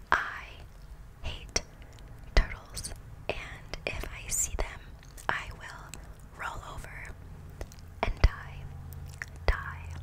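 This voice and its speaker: Whispering in a playful tone, a woman speaks at a very slow pace with long, frequent pauses. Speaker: ASMR creator. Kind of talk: soft casual ASMR chat, Q&A answers. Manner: soft, playful close-mic voice. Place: home room. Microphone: studio mic.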